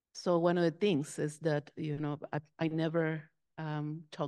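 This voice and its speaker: A woman speaks with a Spanish accent at a very deep, low pitch and a fairly slow pace. Her tone is dark and mellow, and the background is quiet. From Mexico. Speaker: Episcopal minister. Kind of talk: panel discussion.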